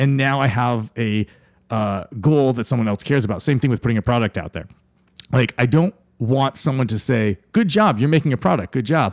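With an American accent, a man uses a plain, everyday voice at medium pitch with ordinary pitch variation. He speaks at a fairly quick pace, and the sound is dry and close with no echo. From upstate New York. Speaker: tech company founder. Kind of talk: interview conversation.

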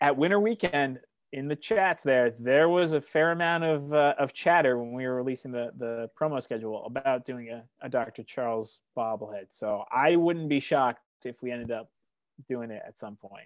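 Over a quiet background, a man with an American accent uses an ordinary speaking voice at medium pitch and a moderate pace, with ordinary pitch variation and big swings in loudness. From Western Massachusetts, US. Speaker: marketing director for a baseball team. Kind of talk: casual podcast interview.

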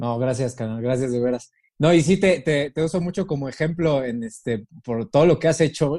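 This man has a dark, mellow tone, a fairly high pitch, and ordinary pitch variation. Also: moderate pace. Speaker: podcast host. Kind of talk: casual chat.

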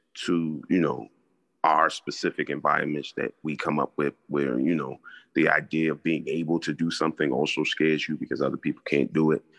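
A man speaks in a very deep, low voice with vocal fry and a flat monotone. His pace is moderate, and the sound is dry and close with no echo. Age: 40s. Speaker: podcast co-host. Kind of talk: casual chat.

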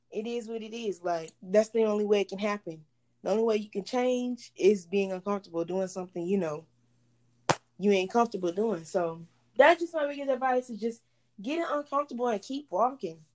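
In an ordinary speaking voice, a woman talks at a fairly quick pace and fairly high pitch with lively intonation. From Texas, Houston area. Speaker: college student and entrepreneur. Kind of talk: casual chat.

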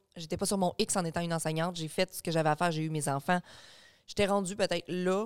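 A woman with a normal speaking voice talks at a fairly low pitch with fairly even intonation. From Quebec, Beauce region. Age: 30s. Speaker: online content creator. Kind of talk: casual chat.

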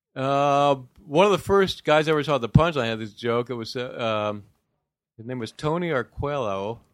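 A man talks at a moderate pace in an unremarkable speaking voice of medium pitch. The recording is very clean and the background silent. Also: ordinary pitch variation, big swings in loudness. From Ohio. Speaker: comedian. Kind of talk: casual chat.

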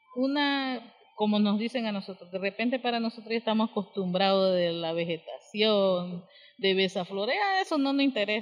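Her pitch is fairly high, and her pitch variation is ordinary. The woman speaks at a moderate pace, with noticeable background noise. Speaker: community leader, lodge co-founder. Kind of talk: interview.

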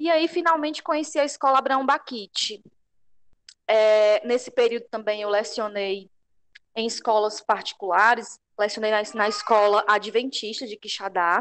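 A woman has an ordinary speaking voice at a fairly high pitch with ordinary pitch variation. The background is quiet. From Ceará, Brazil. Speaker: teacher and pedagogical coordinator. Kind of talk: casual chat. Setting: video call.

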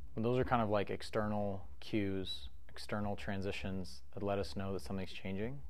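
A man's unremarkable speaking voice, fairly low in pitch with ordinary pitch variation, at a moderate pace with hardly any pauses. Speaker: meditation guide podcast host. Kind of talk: guided meditation. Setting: podcast recording for listeners sitting with eyes closed.

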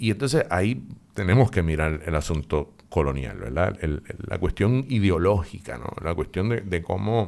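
A man speaks at a moderate pace with hardly any pauses, his very deep, low voice carrying vocal fry and lively intonation. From Puerto Rico. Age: 50s. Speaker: psychologist and professor. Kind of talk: interview.

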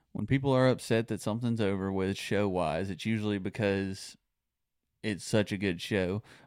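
In a very clean recording with a silent background, a man with an American accent talks at a moderate pace and a fairly low pitch. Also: fairly even intonation. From Texas/Louisiana border region. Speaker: podcast co-host, hospital worker. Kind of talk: casual chat. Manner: laughs often.

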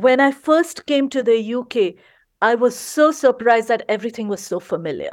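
With an Indian accent, a woman talks at a moderate pace in a high pitch with lively intonation. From India, Gujarat. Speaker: storyteller. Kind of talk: storytelling and interview chat.

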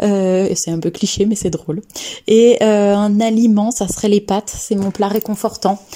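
Speaking at a medium pitch and a fairly slow pace, the woman keeps her intonation monotone and flat. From France, Lyon area. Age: 30s. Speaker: clinical research assistant. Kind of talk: casual personal testimony. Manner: hesitant, with frequent filler sounds.

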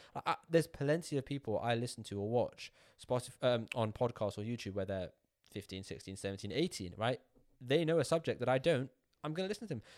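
A man with a British accent races along at a very fast pace with lively intonation at medium pitch, in a very clean recording with a silent background. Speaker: YouTuber and entrepreneur. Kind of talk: casual chat.

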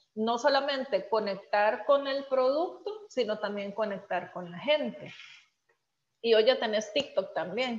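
A woman speaks at a fairly slow pace in a fairly high voice. Her loudness swings a lot. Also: ordinary pitch variation. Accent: Salvadoran. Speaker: podcast host. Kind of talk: interview.

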